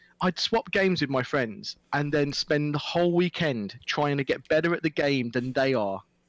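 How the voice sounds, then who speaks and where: With very even loudness and hardly any pauses, a man at a fairly high pitch speaks at a moderate pace with ordinary pitch variation, in a dry, close sound with no echo. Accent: Midlands. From English Midlands, Stourport-on-Severn, Worcestershire. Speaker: esports presenter and commentator. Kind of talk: casual chat.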